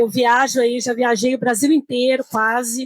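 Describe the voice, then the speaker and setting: A woman's high-pitched voice at a moderate pace. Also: dry, close sound with no echo. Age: 60s. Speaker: retired solo traveler. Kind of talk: panel discussion. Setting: trade fair stand with live audience.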